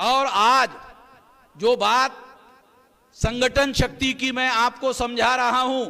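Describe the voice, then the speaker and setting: A man's raised, projected voice, extremely high in pitch, with monotone, flat intonation. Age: 60s. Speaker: activist leader. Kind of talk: political rally speech. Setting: public rally.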